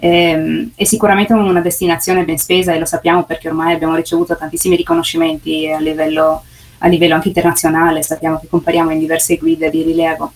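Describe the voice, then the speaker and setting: A woman speaks at a very fast pace in a fairly low voice. Her intonation stays flat and monotone. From Carso near Trieste, Friuli Venezia Giulia, Italy. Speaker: food photographer and pastry maker, tourism ambassador. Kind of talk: remote radio interview. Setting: remote link. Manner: halting, with many fillers and repetitions.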